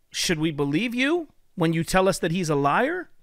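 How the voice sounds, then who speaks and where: A man talks at a fairly slow pace with very wide pitch swings against a quiet background. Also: dry sound with no echo. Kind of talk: critical commentary video. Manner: earnest, preacherly. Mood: critical, confrontational. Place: home room. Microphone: studio mic.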